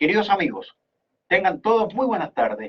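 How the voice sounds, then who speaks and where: The speaker is a man. He talks at a moderate pace. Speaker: radio host. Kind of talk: radio talk show commentary. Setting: radio studio.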